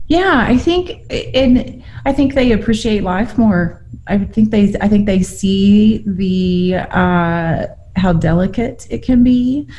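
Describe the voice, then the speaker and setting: A woman with a Southern Plains US accent, very slow pace and lively intonation, over noticeable background noise. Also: medium pitch for a woman. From Oklahoma panhandle. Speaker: rancher. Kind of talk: casual chat. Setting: podcast interview.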